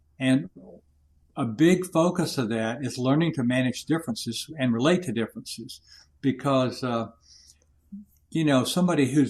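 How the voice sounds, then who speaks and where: A man speaks at a moderate pace with an American accent. His pitch varies in an ordinary way. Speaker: leadership coach and war veteran. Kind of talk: interview. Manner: loud.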